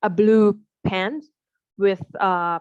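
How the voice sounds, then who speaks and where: The sound is dry and close, with no echo. A woman with a Thai accent speaks at a medium pitch. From Thailand. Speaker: landscape architect. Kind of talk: exam interview answer.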